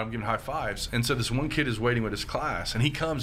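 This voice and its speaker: Over noticeable background noise and audible room echo, a man with a medium pitch talks at a very fast pace. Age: 30s. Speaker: pastor. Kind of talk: casual chat.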